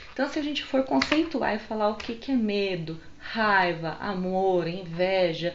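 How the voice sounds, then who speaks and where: A woman speaks with lively intonation while noticeable background noise and audible room echo surround her voice. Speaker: holistic psychotherapist. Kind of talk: casual vlog book recommendations. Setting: home video recorded on phone. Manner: animated. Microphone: phone mic.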